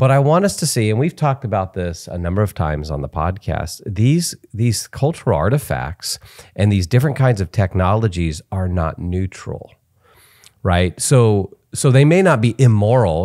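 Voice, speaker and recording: A man's dark, mellow voice, fairly low in pitch, with lively intonation at a moderate pace against a quiet background. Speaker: podcast host. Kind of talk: casual interview. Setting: home studio. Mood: thoughtful, earnest. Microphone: studio mic.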